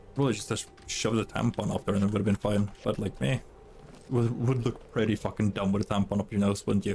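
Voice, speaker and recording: A man speaks at a fairly quick pace with a Norwegian accent, his fairly low pitch carried on fairly even intonation and very even loudness. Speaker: video game streamer. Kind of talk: casual chat. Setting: live stream.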